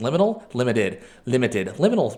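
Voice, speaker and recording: Talking at a fairly quick pace, a man uses a normal speaking voice at medium pitch with ordinary pitch variation. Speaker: gaming video host. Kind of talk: live game commentary.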